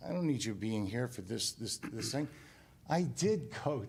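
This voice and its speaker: This man's pitch swings very widely. His voice has vocal fry. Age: 60s. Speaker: property owner. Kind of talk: heated debate. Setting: town committee meeting. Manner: animated.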